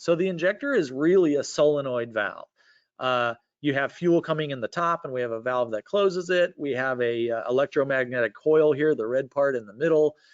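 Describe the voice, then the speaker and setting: Speaking at a fairly quick pace, a man with a fairly high pitch uses lively intonation. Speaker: engine fuel-injection instructor and webinar panelist. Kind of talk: technical presentation. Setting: online webinar. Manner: fast.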